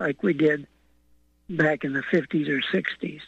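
A man with an American accent, fairly slow in pace, against a quiet background. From Utah. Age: 80s+. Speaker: caller. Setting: phone call.

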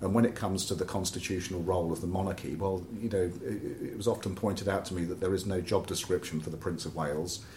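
A man with a southern English accent talks at a very fast pace with hardly any pauses, his pitch very deep and low. His voice is somewhat breathy and his intonation fairly even. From southern England, Oxford. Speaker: environmental campaigner. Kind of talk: interview conversation. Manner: halting, repeats words.

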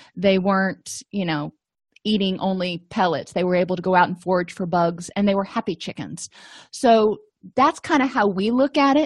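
In an ordinary speaking voice, a woman at medium pitch speaks at a moderate pace with lively intonation, in a dry, close sound with no echo and a quiet background. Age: 40s. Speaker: therapist and podcast host. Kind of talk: educational podcast lecture.

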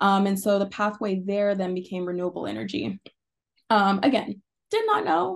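A woman is speaking. Her pitch sits in the middle range. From Arkansas. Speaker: oceanographer and PhD student. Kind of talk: casual interview conversation.

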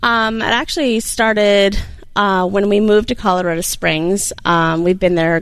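Speaking with a plain, everyday voice, a woman keeps a medium pitch and ordinary pitch variation. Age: 40s. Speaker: small business owner. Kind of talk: interview. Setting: studio.

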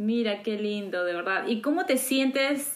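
Here is a woman with a plain, everyday voice. She speaks at a fairly slow pace. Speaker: podcast host. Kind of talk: casual interview. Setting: living in the US.

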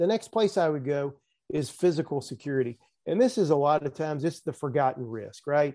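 At a fairly quick pace, a man with a Southern US accent speaks at a fairly high pitch, dark and mellow in tone with lively intonation, against a quiet background. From US South. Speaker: risk management expert. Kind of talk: casual interview.

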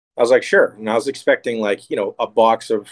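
Speaking with an American accent, a man uses a normal speaking voice at a fairly quick pace with ordinary pitch variation, the sound dry and close with no echo. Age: 30s. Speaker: bait builder and school security manager. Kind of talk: casual chat.

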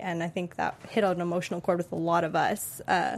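With an ordinary speaking voice, a woman of medium pitch talks at a fairly quick pace. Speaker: TV aftershow co-host. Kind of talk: casual interview.

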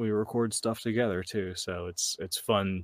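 Heard on a very clean recording with a silent background, a man uses a normal speaking voice at a moderate pace with ordinary pitch variation, the sound dry and close with no echo. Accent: American. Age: 40s. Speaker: podcaster and homesteader. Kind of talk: casual chat.

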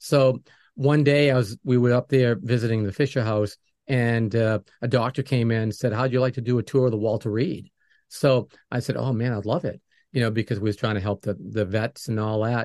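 Against a quiet background with a dry, close sound and no echo, a man talks at a fairly quick pace with a medium pitch, fairly even intonation and an unremarkable speaking voice. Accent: American. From New England, US. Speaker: music producer and podcast host. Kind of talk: interview.

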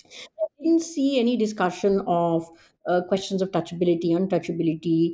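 In a quiet background, a woman with an Indian accent speaks at a moderate pace and medium pitch, her tone dark and mellow, with ordinary pitch variation and very even loudness. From Delhi, India. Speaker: historian and professor. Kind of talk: interview about her book.

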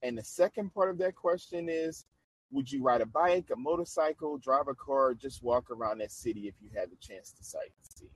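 This man has a normal speaking voice, fairly high for a man, with lively intonation at a moderate pace. The recording is dry and close, with no echo. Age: 30s. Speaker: podcast host. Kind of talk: casual interview chat.

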